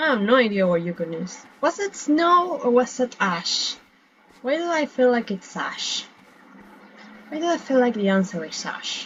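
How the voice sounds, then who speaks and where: A woman with a non-native accent talks at a moderate pace in a high pitch, her voice swinging very widely. Noticeable background noise sits behind her. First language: not English. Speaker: gaming streamer. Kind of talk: gameplay commentary. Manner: casual, rambling self-talk.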